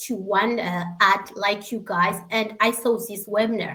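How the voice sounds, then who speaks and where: Speaking at a fairly slow pace, a woman has a fairly high pitch, a bright, sharp tone and fairly even intonation. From Eritrea. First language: Tigrinya. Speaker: secretary and online business member. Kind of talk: testimony. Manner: emotional.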